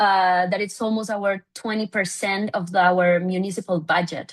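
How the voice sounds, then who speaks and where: A woman speaks with a Spanish accent. Her pace is fairly slow, and the background is quiet. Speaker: city government official. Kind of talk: conference presentation. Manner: halting, many fillers.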